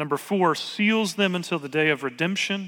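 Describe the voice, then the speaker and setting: A man with a high pitch and a slight Southern US accent speaks at a fairly slow pace, his tone bright and sharp. His pitch varies in an ordinary way on a very clean recording with a silent background. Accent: slight southern US drawl. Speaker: pastor. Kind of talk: sermon.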